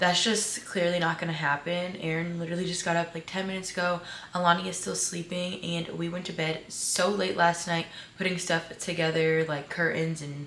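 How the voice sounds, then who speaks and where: Over light background noise and audible room echo, a woman talks at a fairly quick pace with a fairly low pitch and monotone, flat intonation. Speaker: vlogger. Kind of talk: casual vlog chat. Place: home room. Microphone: camera far.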